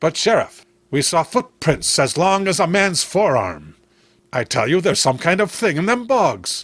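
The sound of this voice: A man performs a put-on character voice at a fairly slow pace. His pitch is fairly high with big swings, and the tone is fairly bright.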